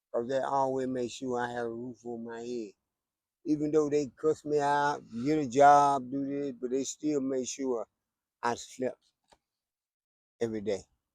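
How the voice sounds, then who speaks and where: A man with a North Carolina accent talks at medium pitch and a moderate pace, with fairly even intonation and long, frequent pauses. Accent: Southern US, North Carolina. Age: 60s. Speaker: homeless man interviewed. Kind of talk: street interview. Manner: halting, repeats words.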